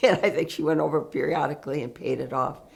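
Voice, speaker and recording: This woman's pitch is very deep and low. She talks with an American accent. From northern Michigan. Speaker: shop owner and historical society board member. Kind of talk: oral history interview. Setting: outdoor food festival. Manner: halting.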